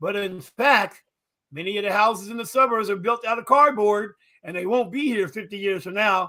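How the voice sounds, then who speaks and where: A man with a high voice speaks at a fairly quick clip, his tone bright and sharp as he projects loudly. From Philadelphia. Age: 70s. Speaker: historian and civil war reenactor. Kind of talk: interview conversation. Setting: livestream talk show.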